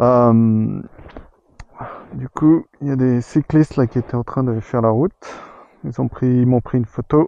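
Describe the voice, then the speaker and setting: A man with a medium pitch talks fairly slowly and with fairly even intonation, leaving long, frequent pauses. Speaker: motorcycle travel vlogger. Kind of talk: travel vlog. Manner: casual.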